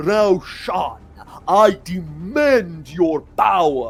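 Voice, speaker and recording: A man bellows in a put-on character voice with a high pitch. He goes at a very slow pace. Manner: bellowing, commanding.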